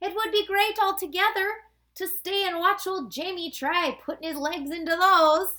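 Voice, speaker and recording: Pitched extremely high, a put-on character voice proceeds at a moderate pace. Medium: read story.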